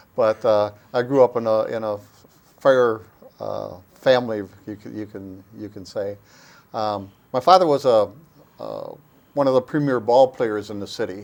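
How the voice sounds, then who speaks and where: A man talks with long, frequent pauses and big swings in loudness. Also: medium pitch for a man, ordinary pitch variation, moderate pace. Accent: Upper Midwest. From US Midwest, Oshkosh, Wisconsin. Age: 70s. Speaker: local historian and former city council member. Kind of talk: interview.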